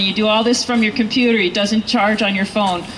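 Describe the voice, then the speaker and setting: Over noticeable background noise, a woman with an American accent talks at a fairly quick pace in a fairly high pitch with monotone, flat intonation. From US Northeast. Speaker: political campaign volunteer speaking at rally. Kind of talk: rally speech.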